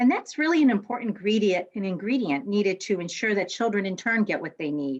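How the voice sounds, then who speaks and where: A woman talks at a fairly quick pace with a medium pitch. Her intonation is lively. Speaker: school district literacy leader. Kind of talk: closing speech. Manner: fast.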